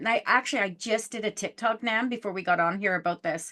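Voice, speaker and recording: This woman's voice has a bright, sharp tone. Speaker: podcast host and psychic. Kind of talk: casual interview chat. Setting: podcast. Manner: fast.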